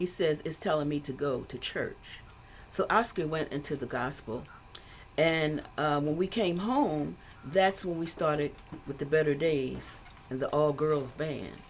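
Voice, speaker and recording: Very deep and low in pitch, a woman speaks at a fairly slow pace with ordinary pitch variation. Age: 70s. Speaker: musician, bass player. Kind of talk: interview.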